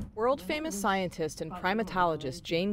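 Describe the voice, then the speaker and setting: It's a normal speaking voice at a fairly quick pace. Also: woman. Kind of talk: news report narration.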